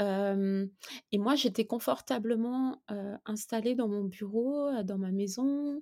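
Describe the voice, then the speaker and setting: Against a silent background in a very clean recording, a woman talks very slowly in a fairly high pitch with a dark, mellow tone and ordinary pitch variation. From eastern France, between Lyon and Geneva. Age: 50s. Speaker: children's book author. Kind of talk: interview.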